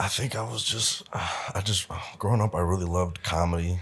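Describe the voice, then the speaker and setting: With an American accent, a man speaks at a very deep, low pitch and a fairly quick pace. His voice is somewhat breathy, with ordinary pitch variation. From US Midwest, Omaha, Nebraska. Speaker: musician and producer. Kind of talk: casual chat. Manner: casual, slangy.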